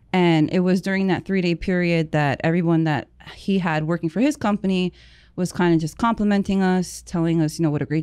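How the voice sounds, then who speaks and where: A woman with an ordinary speaking voice, fairly low pitch, moderate pace, fairly even intonation and very even loudness over a quiet background. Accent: American. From New Jersey. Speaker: cleaning business owner. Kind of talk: casual interview. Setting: studio.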